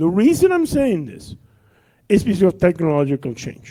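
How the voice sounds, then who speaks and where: A man's dark, mellow tone at a moderate pace. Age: 60s. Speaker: audience member asking a question. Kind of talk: conference Q&A. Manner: halting.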